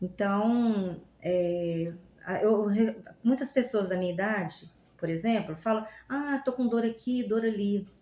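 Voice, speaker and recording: Very slowly, a woman speaks at medium pitch with ordinary pitch variation and a dark, mellow tone. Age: 60s. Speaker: language graduate. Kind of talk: podcast interview.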